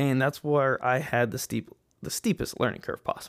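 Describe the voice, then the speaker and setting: An unremarkable speaking voice from a man with an American accent, fairly high in pitch, at a moderate pace. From West Texas, El Paso. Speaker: podcast host, airline pilot. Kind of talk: solo podcast monologue. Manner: casual, conversational.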